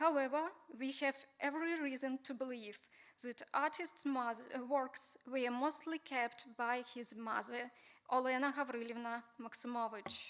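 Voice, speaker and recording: Speaking with a Ukrainian accent, a woman with a high voice keeps a moderate pace and fairly even intonation. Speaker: museum researcher. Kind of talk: conference talk.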